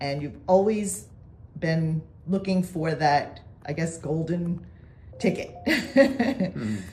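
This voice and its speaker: A woman's fairly low voice with vocal fry and very wide pitch swings, at a very slow pace with long, frequent pauses. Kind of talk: casual interview questions.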